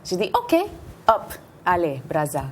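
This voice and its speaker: Noticeable background noise runs behind the speaker. She is a woman with a medium-pitched voice. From Puerto Rican, from New York. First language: Spanish or English (speaking French). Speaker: dancer and choreographer. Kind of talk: TV interview. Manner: halting, with hesitations.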